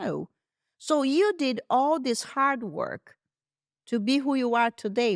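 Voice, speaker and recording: In a very clean recording with a silent background and a dry, close sound with no echo, a woman speaks at a very slow pace and a high pitch with very wide swings. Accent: Brazilian. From Brazil. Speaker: luxury car sales liaison. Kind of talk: interview answer.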